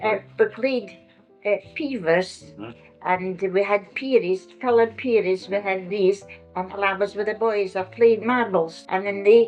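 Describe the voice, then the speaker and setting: Music plays behind a woman with a Scottish accent. She speaks at a moderate pace in a medium-pitched voice with fairly even intonation. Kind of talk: oral history interview answer. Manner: reminiscing, casual.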